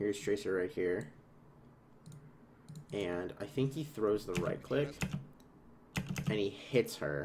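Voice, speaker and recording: A man speaks at a very slow pace with lively intonation. His voice is medium in pitch and somewhat breathy. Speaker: esports analyst. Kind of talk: game VOD analysis on stream. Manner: casual, hesitant with fillers.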